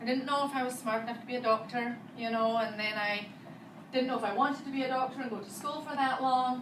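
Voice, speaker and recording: With a Scottish accent, a woman speaks fairly quickly in a high voice with ordinary pitch variation, and audible room echo surrounds her. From Scotland. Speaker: physical therapist. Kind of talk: talk to students.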